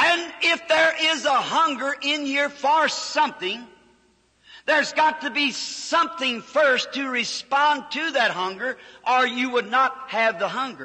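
Projecting his raised voice at a fairly slow pace, a man speaks at an extremely high pitch with ordinary pitch variation. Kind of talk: sermon with illustrative anecdotes. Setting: recording of a live church service, old audio. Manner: conversational, explanatory.

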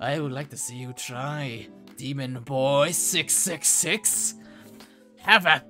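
Clear music plays in the background as someone uses a put-on character voice at a low-to-middle pitch and a very slow pace. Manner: silly, theatrical.

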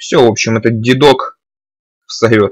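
The recording is dry and close, with no echo. A man talks very slowly. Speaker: gaming video creator. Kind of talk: let's play commentary. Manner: casual, thinking aloud.

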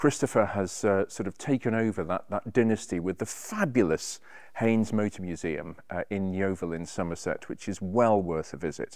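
Against a quiet background, a man's moderate pace carries ordinary pitch variation. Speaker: presenter. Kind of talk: presenter piece to camera. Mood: warm, enthusiastic, wry. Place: workshop.

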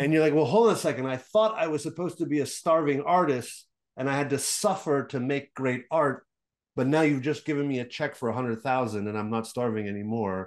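Against a quiet background, a man with a fairly high pitch talks at a very fast pace with lively intonation. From Quebec, Montreal. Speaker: game business consultant and investor; podcast guest. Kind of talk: interview. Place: home room. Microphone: video call.

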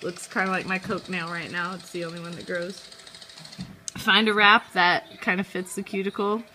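A woman talks while noticeable background noise is present. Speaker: vlogger, mom doing manicure tutorial. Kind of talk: tutorial. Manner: casual, chatty.

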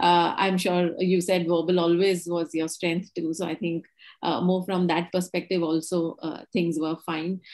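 This woman's voice sits fairly low and moves at a fairly slow pace. Her intonation is monotone and flat, with a quiet background. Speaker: company co-founder and session host; session host. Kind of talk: interview. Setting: video call. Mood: friendly, relaxed. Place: home room. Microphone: video call.

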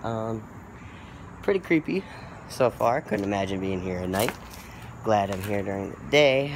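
A man talks fairly slowly, his pitch varying in an ordinary way, while noticeable noise fills the background. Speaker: explorer vlogger. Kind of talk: casual vlog chat. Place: open country. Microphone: phone near.

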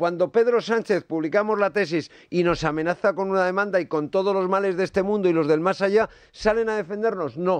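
High in pitch, a man talks at a fairly quick pace with ordinary pitch variation. The sound is dry with no echo over a quiet background. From Navarra, Spain. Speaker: journalist. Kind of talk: radio panel discussion. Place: studio. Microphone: studio mic.

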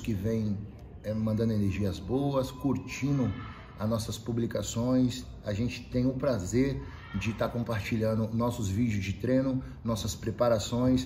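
A man talks at a medium pitch and a fairly slow pace. Light background noise is present. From Brazil. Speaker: MMA fighter and capoeira practitioner. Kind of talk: casual vlog message to followers. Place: gym. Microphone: camera far.

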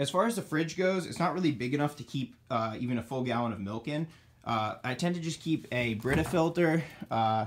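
Light background noise sits behind this man. He speaks at a moderate pace with ordinary pitch variation. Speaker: college student vlogger. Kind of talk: casual room tour commentary. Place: home room. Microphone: phone near.

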